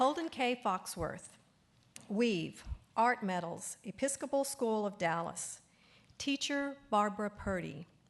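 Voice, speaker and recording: In a Texas accent, a woman speaks at a fairly slow pace with lively intonation and fairly high pitch. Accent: Texas twang. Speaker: awards ceremony announcer. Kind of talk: reading aloud. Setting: auditorium ceremony. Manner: formal.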